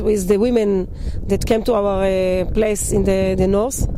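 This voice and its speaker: The woman talks fairly slowly, her voice carrying audible room echo over noticeable background noise. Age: 60s. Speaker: testimony giver. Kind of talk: testimony. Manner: halting.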